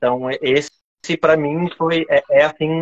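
A man with a high pitch talks in a Florianópolis accent. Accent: Florianópolis 'manezinho'. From Florianópolis, Brazil. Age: 30s. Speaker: coffee trainer. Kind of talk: casual chat.

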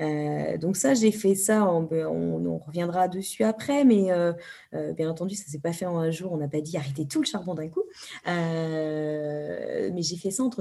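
Speaking at a very slow pace, a woman uses a fairly low pitch and a dark, mellow tone, her intonation lively. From France. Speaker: environmental activist, NGO founder. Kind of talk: interview.

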